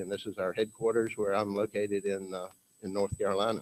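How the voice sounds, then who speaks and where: In a Southern US accent, a man speaks with a fairly low pitch and a monotone, flat intonation. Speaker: conference speaker, research institute representative. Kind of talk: conference presentation. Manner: halting, many fillers.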